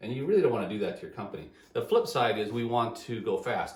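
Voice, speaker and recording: Someone speaks at a very fast pace, with audible room echo. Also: man. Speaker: engineering business consultant. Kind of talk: solo video talk. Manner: halting, repeated words.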